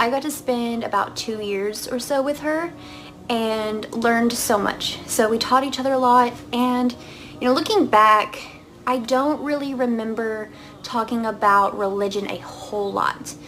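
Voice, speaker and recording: Against noticeable background noise, a speaker with an American accent talks at a fairly slow pace with ordinary pitch variation. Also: woman. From US South, Arkansas. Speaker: vlogger sharing conversion story. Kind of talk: personal testimony. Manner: casual, many fillers.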